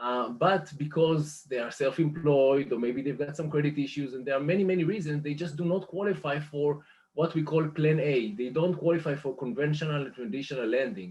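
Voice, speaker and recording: A man speaks at a fairly quick pace with a fairly high pitch and a somewhat breathy sound. He hardly pauses at all. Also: ordinary pitch variation. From Israel. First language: Hebrew. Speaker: mortgage lender business manager. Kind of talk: interview. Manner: hesitant, many fillers.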